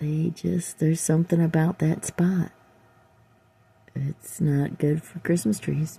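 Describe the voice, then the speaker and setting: The somewhat breathy voice has a dark, mellow tone and an American accent. It moves at a fairly slow pace with fairly even intonation and long, frequent pauses. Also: woman, very deep, low pitch for a woman. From upstate New York. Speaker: vlogger. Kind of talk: casual vlog walkthrough. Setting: at home, outdoors in yard. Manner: halting, many fillers.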